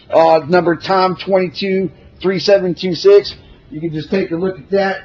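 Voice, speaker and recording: A man speaks at a high pitch and a moderate pace. His intonation is fairly even, with noticeable background noise. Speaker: self-represented plaintiff. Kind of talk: courtroom witness examination. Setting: courtroom. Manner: loud.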